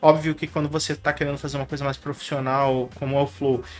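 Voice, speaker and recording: A man speaks with fairly even intonation. His pitch sits fairly high. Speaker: YouTuber and tech entrepreneur. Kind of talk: casual monologue to camera. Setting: home studio. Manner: fast; mumbled at times, many filler words. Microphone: professional podcast microphone.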